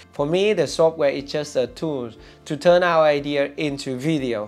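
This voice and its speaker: A man at a moderate pace with ordinary pitch variation, faint music in the background. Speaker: video creator. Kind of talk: tutorial. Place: studio. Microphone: lapel.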